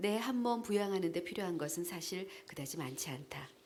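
Her pitch swings very widely around a medium level as this woman talks. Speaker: voice actor. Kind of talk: essay reading. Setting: live event.

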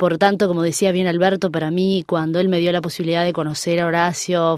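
At a fairly quick pace, a woman with an unremarkable speaking voice talks at a fairly low pitch. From Uruguay. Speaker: tango singer. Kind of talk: interview. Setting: studio.

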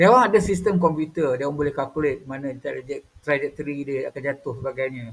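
The voice is somewhat breathy and very fast, with ordinary pitch variation. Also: man, fairly high pitch for a man. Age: 50s. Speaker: YouTuber. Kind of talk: casual monologue.

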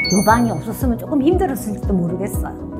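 While this woman talks, clear music can be heard behind her. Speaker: retired university professor. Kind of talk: testimonial interview answer. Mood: proud, upbeat. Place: studio.

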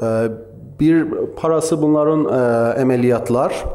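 This man's speech moves at a fairly slow pace. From Iran, Tabriz (Azerbaijani-speaking); Iran. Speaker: physical medicine and pain specialist; conference presenter. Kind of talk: conference lecture; lecture. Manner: halting, many filler sounds. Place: hall. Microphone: podium.

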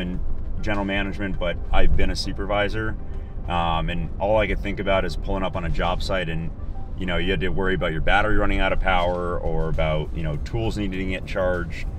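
Over clear music in the background, a man with a very deep, low pitch talks very fast with ordinary pitch variation, in a dry sound with no echo. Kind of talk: interview answer. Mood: upbeat, enthusiastic. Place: car.

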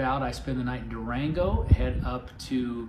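A man's fairly slow speech is accompanied by noticeable background noise. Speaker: video host. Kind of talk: casual vlog chat. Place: home room.

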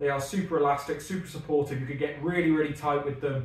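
Fairly even in intonation, a man speaks with audible room echo around him. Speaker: strongman athlete vlogger. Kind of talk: gear review vlog chat. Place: gym.

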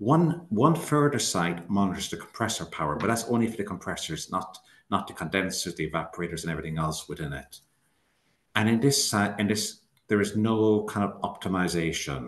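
Over a quiet background with audible room echo, a man talks at a fairly quick pace, his fairly low voice carrying lively intonation. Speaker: refrigeration engineer doing site surveys. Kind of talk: webinar presentation. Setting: video call. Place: home room. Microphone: webcam.

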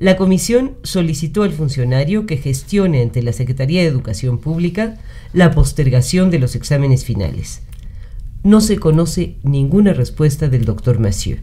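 This man has a normal speaking voice with a fairly high pitch. He talks at a moderate pace. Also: lively intonation. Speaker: historian chronicler reading a day-by-day radio chronicle. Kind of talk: radio news chronicle narration.

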